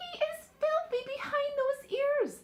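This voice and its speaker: A woman's squeaky, put-on character voice at an extremely high pitch, with lively intonation and a fairly slow pace. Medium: read story. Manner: brisk, no-nonsense.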